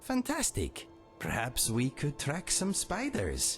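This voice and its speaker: A put-on character voice at a fairly slow pace, over clear music in the background. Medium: video game. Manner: quirky, genial.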